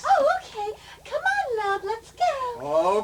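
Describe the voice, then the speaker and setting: A woman does a squeaky put-on character voice at an extremely high pitch, talking at a very slow pace with ordinary pitch variation over light background noise. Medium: comedy sketch. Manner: obliging.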